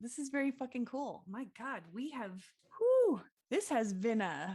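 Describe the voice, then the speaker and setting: A woman speaks loudly and fairly slowly, her high pitch making very wide swings. Her tone is dark and mellow. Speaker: podcast co-host. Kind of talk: casual chat.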